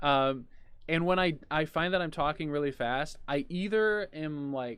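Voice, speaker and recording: Man's fairly high-pitched voice in a very clean recording with a silent background. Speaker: podcast host, behavior analyst. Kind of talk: casual discussion.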